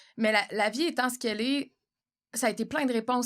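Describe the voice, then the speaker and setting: The recording is very clean, with a silent background. A woman talks at a very fast pace. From Quebec. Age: 40s. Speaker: podcast host and actress. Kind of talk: casual chat. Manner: animated.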